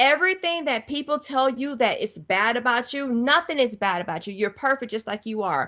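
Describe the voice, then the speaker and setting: A woman with an American accent talks at a fairly quick pace in a high pitch, her tone bright, sharp and animated and her intonation lively. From US South, Georgia. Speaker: author and TV personality. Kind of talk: interview conversation.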